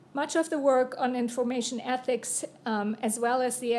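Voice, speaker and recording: The voice has a dark, mellow tone and a German accent. It moves at a moderate pace with fairly even intonation. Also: woman. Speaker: university dean. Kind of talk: panel remarks. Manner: formal.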